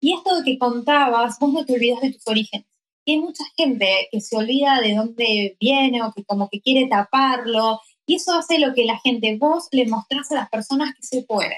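The speech moves at a moderate pace with ordinary pitch variation, recorded dry and close with no echo. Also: woman, high pitch for a woman. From Argentina. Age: 30s. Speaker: tarot reader. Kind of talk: casual interview.

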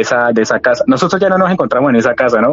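A man speaks over noticeable background noise. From Cali, Colombia. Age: 20s. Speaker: storyteller sharing paranormal experience. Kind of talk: personal testimony. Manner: halting.

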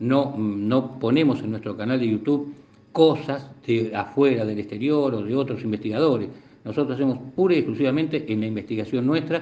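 Noticeable background noise and audible room echo accompany a speaker with an Argentine accent and ordinary pitch variation. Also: man. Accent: Rioplatense Argentine Spanish. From Argentina, La Plata. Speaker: UFO researcher. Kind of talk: interview. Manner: halting.

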